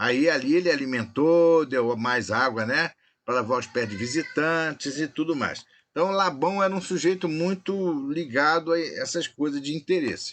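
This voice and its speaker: This man has a fairly high pitch and ordinary pitch variation. It is a normal speaking voice. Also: moderate pace. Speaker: Bible study teacher. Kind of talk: online Bible study lesson.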